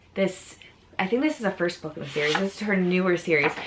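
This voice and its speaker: Noticeable background noise sits behind this recording. A woman with an American accent speaks at medium pitch with ordinary pitch variation. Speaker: book youtuber. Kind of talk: casual chat.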